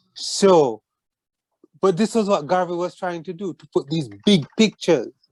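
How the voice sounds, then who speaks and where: The sound is dry and close, with no echo. A man speaks at a fairly slow pace in a dark, mellow tone. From Jamaica. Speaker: author and poet. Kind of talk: interview. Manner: halting.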